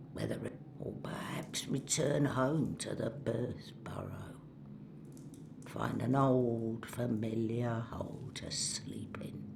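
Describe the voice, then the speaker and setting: Whispering in a put-on character voice, the speaker goes at a very slow pace over loud background noise. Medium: video game. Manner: gruff, broken grammar.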